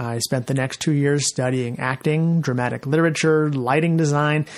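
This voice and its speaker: This man speaks at a fairly quick pace with fairly even intonation and a fairly high pitch. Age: 30s. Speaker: podcast host and self-published author. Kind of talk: solo podcast monologue. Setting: basic home recording studio. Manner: hesitant, many fillers.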